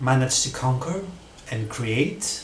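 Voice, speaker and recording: Fairly unhurried speech from a man amid clear background noise and noticeable room echo. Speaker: spiritual small business owner. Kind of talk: casual vlog monologue. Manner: hesitant, many fillers.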